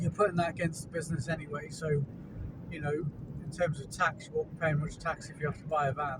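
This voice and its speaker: A man with an English accent, talking at a very fast pace in a monotone, flat intonation. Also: fairly high pitch for a man. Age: 40s. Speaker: handyman and gardener. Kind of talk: casual vlog monologue. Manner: halting, with stutters and fillers.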